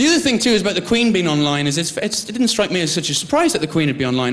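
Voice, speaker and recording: A man speaks at a very fast pace with lively intonation. Noticeable background noise runs underneath. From Ireland. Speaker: TV presenter. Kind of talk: casual chat.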